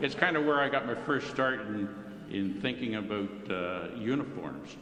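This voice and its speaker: Lively intonation comes through at a moderate pace, with noticeable background noise and audible room echo. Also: man. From Ontario, Canada (Brampton area). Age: 70s. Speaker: retired firefighter, club member. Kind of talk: personal life-story talk to club meeting. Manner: casual, halting with fillers.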